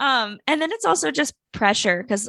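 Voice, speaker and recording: In a very clean recording with a silent background, a woman speaks at a moderate pace and medium pitch in a bright, sharp tone. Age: 20s. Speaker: startup founder and influencer. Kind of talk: casual chat.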